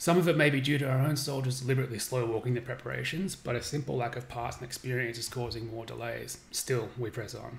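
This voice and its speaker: A man speaks very fast at a medium pitch, with vocal fry and fairly even intonation. He hardly pauses. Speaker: game developer streaming gameplay. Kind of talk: reading aloud a game briefing on a live stream. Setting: live stream with chat.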